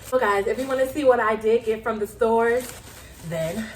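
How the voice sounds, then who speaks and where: Noticeable background noise sits behind the voice. A woman talks at a moderate pace, fairly high in pitch, with ordinary pitch variation. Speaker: lifestyle vlogger. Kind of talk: shopping haul video. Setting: home, sitting on the floor. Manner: animated.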